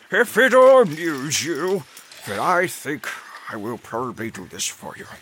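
Putting on a character voice, a man speaks at a moderate pace with a fairly high pitch and very wide pitch swings. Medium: actual play.

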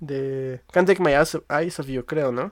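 A man speaks with a Mexico City accent in a very clean recording with a silent background. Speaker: music podcast host. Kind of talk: casual chat.

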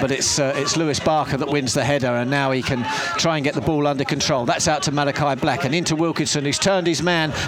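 An animated male voice amid crowd noise in the background, with audible room echo. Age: 60s. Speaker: football radio commentator. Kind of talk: live football play-by-play commentary on local club radio, calling passes and throw-ins. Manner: brisk running commentary with frequent filler 'uh' hesitations; animated, partisan excitement.

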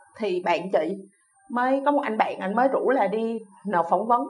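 A woman's high-pitched voice rises and falls in lively intonation while music plays in the background. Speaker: VFX lighting team leader. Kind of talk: interview.

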